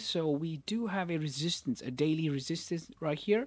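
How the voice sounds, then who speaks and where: The speech is mumbled. The recording is very clean, with a silent background. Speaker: forex trading streamer. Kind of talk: live trading analysis stream. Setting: live stream. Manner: mumbling; casual, repetitive.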